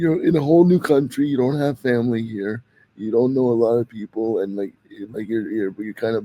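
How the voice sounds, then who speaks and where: In a Canadian accent, a man speaks at a moderate pace in an unremarkable speaking voice. His pitch is medium, with ordinary variation. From Canada. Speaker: podcast host. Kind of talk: interview.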